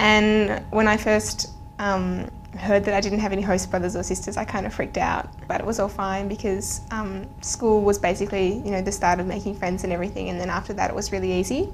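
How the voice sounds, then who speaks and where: A woman speaks in a flat monotone at a fairly quick pace over light background noise. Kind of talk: interview answer. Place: studio.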